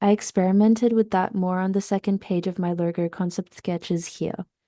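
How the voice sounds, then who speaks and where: A woman at a medium pitch with a dark, mellow tone, fairly even intonation and a fairly quick pace, dry, close sound with no echo, quiet background. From Russian background. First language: Russian. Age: 20s. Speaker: student. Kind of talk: presentation. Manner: formal.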